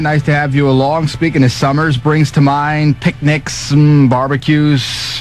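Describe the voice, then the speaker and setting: With music in the background, a man speaks in a fairly high voice. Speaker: radio DJ. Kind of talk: radio talk break with humorous news. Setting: radio station broadcast. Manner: relaxed, joking.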